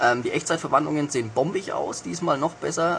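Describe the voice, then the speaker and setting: A man with a Franconian accent speaks at a very fast pace. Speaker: intern at a games magazine. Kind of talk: casual game review.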